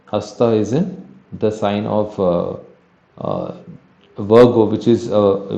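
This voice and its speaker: A man speaks at fairly low pitch, with audible room echo. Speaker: astrology teacher. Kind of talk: lecture. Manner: halting.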